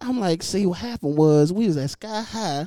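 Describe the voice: A man with a high pitch and a dark, mellow tone, lively intonation at a moderate pace, on a very clean recording with a silent background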